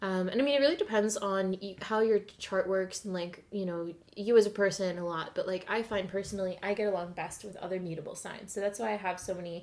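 A woman talks fairly quickly, her medium-pitched voice carrying fairly even intonation. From Alberta, Edmonton. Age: 20s. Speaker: podcast guest. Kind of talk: casual chat. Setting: home kitchen table.

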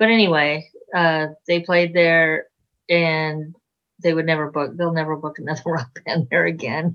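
A woman with an American accent talks in a plain, everyday voice at a moderate pace and a fairly low pitch. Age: 60s. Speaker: rock musician, singer and bassist. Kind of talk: casual interview chat. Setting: video call.

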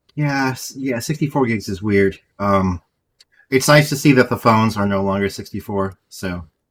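A man speaks at a moderate pace. His medium pitch shows ordinary pitch variation. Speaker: podcast host. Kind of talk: casual chat about tech news. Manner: enthusiastic, casual, uses "dude".

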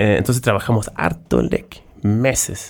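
Very slowly, a man talks in a fairly low pitch. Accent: Swedish. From southern Sweden. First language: Swedish (speaking Spanish). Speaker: startup founder and CEO. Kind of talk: interview. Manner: halting.

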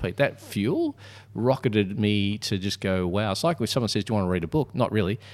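This man has a plain, everyday voice at a fairly low pitch. He moves at a fairly quick pace with lively intonation. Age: 50s. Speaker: podcast co-host and speaker/author. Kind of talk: casual conversational podcast.

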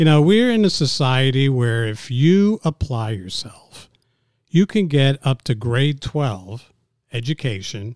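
Speaking fairly slowly with an American accent, a man has an ordinary speaking voice, recorded with dry, close sound and no echo. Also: very clean recording, silent background. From New York City. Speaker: business commentator. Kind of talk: casual interview.

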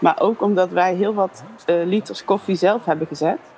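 A woman uses fairly even intonation and a medium pitch while noticeable background noise plays. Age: 30s. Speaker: former pedagogy student. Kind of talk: personal reminiscence.

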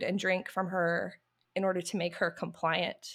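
On a very clean recording with a silent background, a woman with an American accent and a plain, everyday voice talks at a fairly slow pace and medium pitch. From US South. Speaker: YouTuber. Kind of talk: casual chat.

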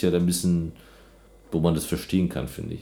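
A man's very deep, low voice with a dark, mellow tone, vocal fry and audible room echo. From Germany. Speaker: podcast host. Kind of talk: casual chat. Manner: animated.

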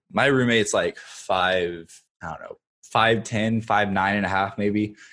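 A man talks fairly slowly in a plain, everyday voice with fairly even intonation. The recording is very clean with a silent background. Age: 20s. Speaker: TikTok creator. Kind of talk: casual chat.

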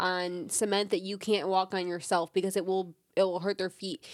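At a moderate pace, a woman talks in a plain, everyday voice. The recording is very clean and dry, close with no echo and a silent background. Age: 20s. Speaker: host's girlfriend, recurring podcast guest. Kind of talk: casual chat.

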